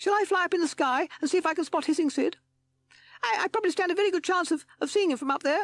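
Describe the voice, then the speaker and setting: A squeaky, extremely high put-on character voice with an anxious tone. It races along at a very fast pace. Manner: eager, anxious.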